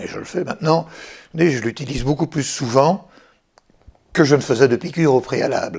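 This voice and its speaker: This man's voice sits fairly high in pitch and sounds somewhat breathy, moving at a moderate pace with ordinary pitch variation. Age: 60s. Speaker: retired French teacher, diabetes patient. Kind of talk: patient testimony. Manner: hesitant, many fillers.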